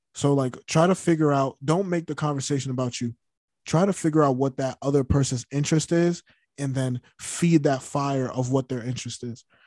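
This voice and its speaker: On a very clean recording with a silent background and a dry, close sound with no echo, a man with a normal speaking voice talks at a fairly quick pace, his pitch fairly high and his intonation fairly even. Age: 20s. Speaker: podcast co-host. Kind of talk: casual chat.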